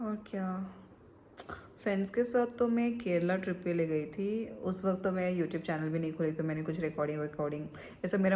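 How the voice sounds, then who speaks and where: With audible room echo, a woman talks at a moderate pace in a fairly low, dark, mellow voice. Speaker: vlogger. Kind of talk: casual vlog chat.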